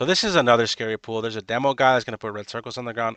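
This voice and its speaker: Speaking very fast, a man uses a medium-pitched voice with a bright, sharp tone. The sound is dry and close with no echo, against a quiet background. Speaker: gaming guide creator. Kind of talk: gameplay commentary. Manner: animated.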